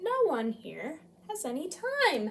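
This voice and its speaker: A woman puts on a character voice. She pitches it high. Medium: read story. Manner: slow, gentle.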